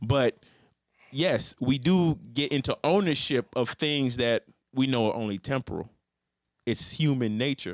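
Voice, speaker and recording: Long, frequent pauses break up the speech of a man with a medium pitch and ordinary pitch variation. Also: dry, close sound with no echo. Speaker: podcast co-host. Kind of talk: casual chat. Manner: fast.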